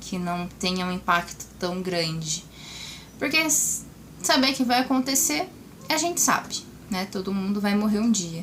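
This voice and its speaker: A woman's intonation stays lively despite noticeable background noise. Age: 20s. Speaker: vlogger sharing cancer experience. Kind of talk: casual vlog talk to camera.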